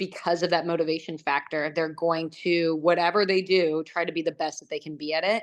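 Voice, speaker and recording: A woman with a plain, everyday voice, fairly low in pitch, at a moderate pace. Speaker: Olympic javelin thrower. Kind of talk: casual interview chat.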